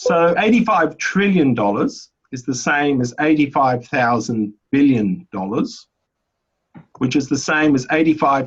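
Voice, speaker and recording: A man speaks with an Australian accent and lively intonation. His pace is very slow. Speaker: economics presenter. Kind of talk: webinar lecture. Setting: online webinar.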